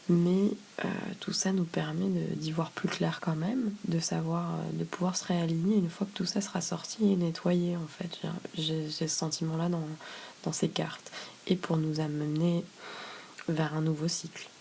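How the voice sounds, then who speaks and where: Soft-spoken, the voice moves at a fairly slow pace with long, frequent pauses. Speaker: tarot reader. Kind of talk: tarot reading video. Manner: halting, many fillers.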